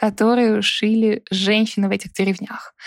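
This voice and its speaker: At a moderate pace, a woman speaks in a plain, everyday voice with a fairly high pitch. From Russia, Saint Petersburg. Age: 30s. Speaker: customer success manager and volunteer fundraising coordinator. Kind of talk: casual interview chat. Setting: video call.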